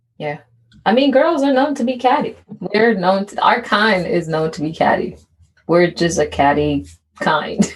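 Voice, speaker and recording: Somewhat breathy at medium pitch, a woman speaks at a moderate pace with very wide pitch swings. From immigrated to the US as a child. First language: not English. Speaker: podcast co-host. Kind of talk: casual chat.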